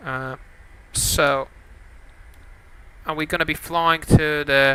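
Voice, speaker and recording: A man speaks at a very slow pace with a fairly high pitch and a bright, sharp tone. His intonation is monotone and flat. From Lithuania. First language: Lithuanian. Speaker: flight sim streamer. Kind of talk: live stream commentary. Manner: hesitant, many fillers.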